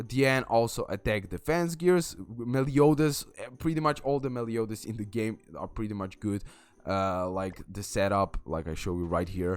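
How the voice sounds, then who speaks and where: A man speaks at a moderate pace with a non-native accent and a medium pitch. His intonation is lively. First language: not English. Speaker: gaming YouTuber. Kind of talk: game tutorial. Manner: halting, many fillers and restarts.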